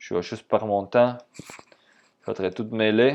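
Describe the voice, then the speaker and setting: A man with a fairly low pitch speaks at a moderate pace with fairly even intonation over a quiet background. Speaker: trading instructor. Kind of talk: tutorial.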